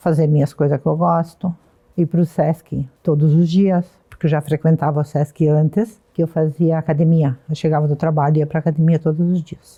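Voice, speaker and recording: A woman's very deep, low voice, somewhat breathy and dark and mellow in tone, at a moderate pace with monotone, flat intonation. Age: 70s. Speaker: retiree, senior hip hop dancer. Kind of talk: documentary interview.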